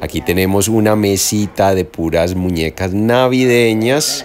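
Crowd noise fills the background. A man speaks at a fairly slow pace. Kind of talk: casual vlog tour narration. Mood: excited and proud. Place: hall. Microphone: phone near.

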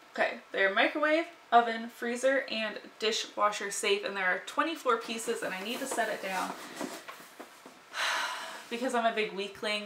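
Over noticeable background noise, a woman talks at a moderate pace with ordinary pitch variation. She pauses long and often. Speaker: lifestyle vlogger. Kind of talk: casual vlog chat. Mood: cheerful, playful. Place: home room.

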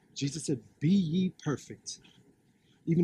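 A man's voice has a dark, mellow tone and is somewhat breathy. The sound is dry with no echo, with light background noise. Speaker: street preacher. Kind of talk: street sermon, preaching. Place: open country. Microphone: phone near.

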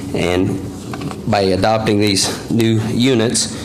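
There is noticeable background noise behind a man speaking. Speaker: wildlife biologist. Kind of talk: public meeting presentation. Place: meeting room. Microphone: podium.

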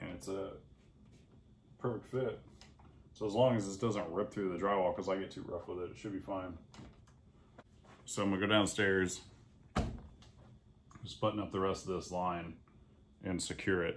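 A man speaks with a low pitch and fairly even intonation. He leaves long, frequent pauses. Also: moderate pace.

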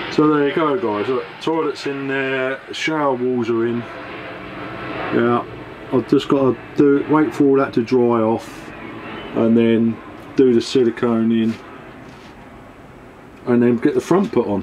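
Pausing long and often, a man speaks at a fairly slow pace with ordinary pitch variation amid light background noise. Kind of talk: casual vlog chat. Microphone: phone near.

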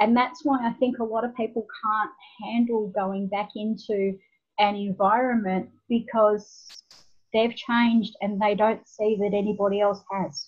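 Against a quiet background, a woman with an Australian accent speaks at a fairly slow pace in a fairly high, somewhat breathy voice with fairly even intonation. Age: 50s. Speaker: nonprofit founder; podcast guest. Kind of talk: interview. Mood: warm, smiling. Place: home room.

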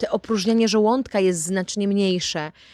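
On a very clean recording with a silent background, a woman talks at a moderate pace and a fairly high pitch, with a dry, close sound and no echo. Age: 30s. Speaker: vlogger. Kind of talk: casual vlog monologue.

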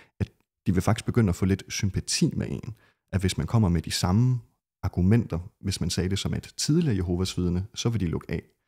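At a fairly quick pace, a man speaks with a very deep, low pitch and a dark, mellow tone. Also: ordinary pitch variation, quiet background. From Denmark, Skive; Denmark. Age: young. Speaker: ex-Jehovah's Witness, never baptized; Witness. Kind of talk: podcast interview. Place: home room. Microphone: studio mic.

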